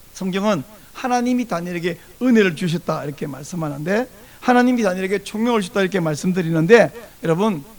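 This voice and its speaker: Very fast and high in pitch, a man speaks with lively intonation. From South Korea, countryside near Busan. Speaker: pastor. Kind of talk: sermon.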